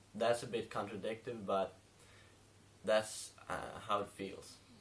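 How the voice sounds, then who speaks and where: A man with a non-native accent speaks at a fairly slow pace. His pitch is fairly low. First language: not English. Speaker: film reviewer. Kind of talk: casual review monologue. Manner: many fillers and hesitations (um, uh).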